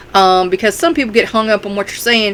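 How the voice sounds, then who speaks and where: There is noticeable background noise as a woman with a Kentucky accent speaks at a fairly high pitch. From Kentucky, US. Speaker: self-help vlogger and author. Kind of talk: casual talk to camera. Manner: hesitant, many fillers.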